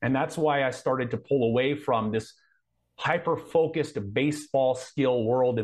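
With an American accent, a man speaks in an unremarkable speaking voice at a medium pitch and moderate pace, with ordinary pitch variation. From Southern California (Anaheim). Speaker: coach and combat veteran. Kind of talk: interview.

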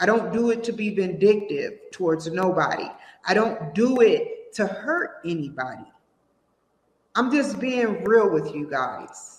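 Speaking fairly slowly with an American accent, a woman uses a fairly high pitch, very wide pitch swings, vocal fry and an animated tone. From Washington D.C. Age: 30s. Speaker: livestream host and self-declared presidential candidate. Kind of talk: casual monologue livestream.

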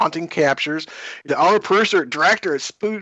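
The speaker talks at a very fast pace with a Kentucky accent and ordinary pitch variation. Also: man. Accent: Kentucky Southern US. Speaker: podcast host. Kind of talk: casual interview.

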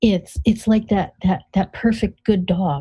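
A woman's somewhat breathy voice, medium in pitch with a warm, gentle tone that is also dark and mellow, moves at a moderate pace. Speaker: financial coach and author. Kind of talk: guided visualization in a conversational interview. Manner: warm, coaxing run-on delivery with gentle repetitions; builds excited, cheerful anticipation.

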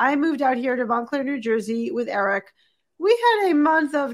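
Using a normal speaking voice, a woman talks at a fairly quick pace with lively intonation. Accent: American. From Boston, US. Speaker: executive coach and author. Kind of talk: interview conversation. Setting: video call.

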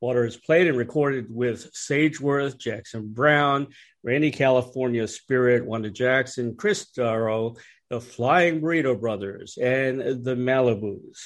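This man has an unremarkable speaking voice, a medium pitch and ordinary pitch variation, and he talks at a fairly slow pace. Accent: American. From Washington DC. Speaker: radio host and music journalist. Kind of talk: scripted introduction; interview.

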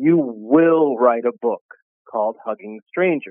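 In a loud, booming, put-on character voice, a man talks fairly slowly at a medium pitch.

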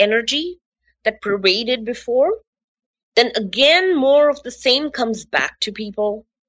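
A woman speaks at a fairly slow pace in a high pitch. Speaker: radio host. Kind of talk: guided relaxation and talk show monologue. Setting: radio show broadcast.

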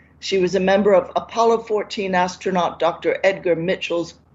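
A woman speaks at medium pitch and a moderate pace, with ordinary pitch variation. It is an unremarkable speaking voice. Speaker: radio show host. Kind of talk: guided meditation. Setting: radio studio.

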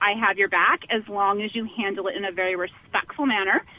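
Noticeable background noise sits behind the speaker. A woman with an American accent talks at a moderate pace. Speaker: caller, mother. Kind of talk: call-in. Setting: phone call. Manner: halting.

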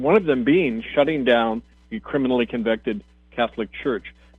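A man talks fairly quickly with music in the background. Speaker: radio host and minister. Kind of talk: radio talk monologue. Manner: impassioned.

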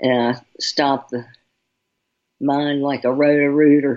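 Her pitch is very deep and low for a woman. She speaks at a fairly slow pace. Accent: Southern US. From Charlotte, North Carolina. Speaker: radio host giving intuitive readings. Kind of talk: radio talk show. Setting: radio show with callers.

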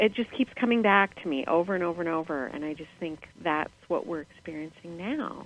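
A woman with an American accent and an ordinary speaking voice, fairly low in pitch, at a fairly quick pace with ordinary pitch variation. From US. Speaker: caller. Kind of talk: call-in show chat. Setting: phone or video call.

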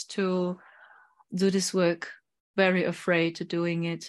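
Speaking very slowly, a woman is heard against a quiet background. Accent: German. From Germany. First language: German. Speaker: psychic medium. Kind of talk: interview.

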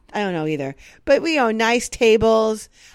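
A woman speaks at a moderate pace in a fairly high voice with lively intonation. The recording is very clean, with a silent background. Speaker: podcast co-host. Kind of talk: casual chat. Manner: chatty, joking.

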